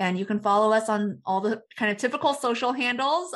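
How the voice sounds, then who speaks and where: A woman with an ordinary speaking voice talks at a moderate pace in an American accent. The background is quiet. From Texas (Dallas suburbs). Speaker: startup founder. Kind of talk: interview. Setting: studio.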